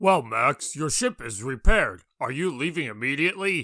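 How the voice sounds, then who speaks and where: In a raspy, put-on character voice, a man speaks at a fairly high pitch in a very clean recording with a silent background. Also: moderate pace. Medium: game stream. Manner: formal, comic overacting.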